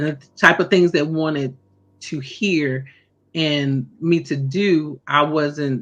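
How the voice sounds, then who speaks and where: A woman speaks at a very slow pace in an American accent, her pitch very deep and low. Her intonation stays fairly even against a quiet background. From US South, North Carolina. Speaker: singer and entrepreneur. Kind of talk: interview.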